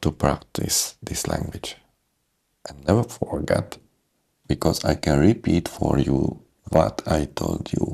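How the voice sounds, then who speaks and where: A man with a non-native accent speaks at a very slow pace, with long, frequent pauses. His loudness swings a lot. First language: not English. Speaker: English speaking coach. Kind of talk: motivational talk to camera. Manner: halting, broken phrasing.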